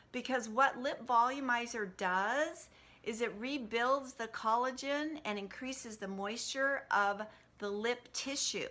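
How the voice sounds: Bright and sharp in tone, a woman speaks at a fairly slow pace with a fairly high pitch and ordinary pitch variation.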